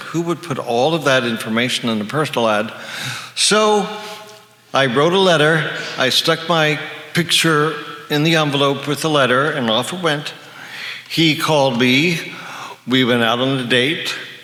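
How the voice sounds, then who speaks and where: A man at a moderate pace, with long, frequent pauses, ordinary pitch variation, audible room echo and noticeable background noise. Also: fairly high pitch for a man. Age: 60s. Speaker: retired psychologist sharing HIV survivor story. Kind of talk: personal testimony to an audience.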